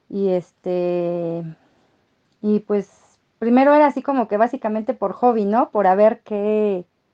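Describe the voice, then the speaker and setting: Very slow and broken by long, frequent pauses, a woman's fairly high-pitched voice has a dark, mellow tone, heard dry and close with no echo. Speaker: market vendor. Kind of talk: interview.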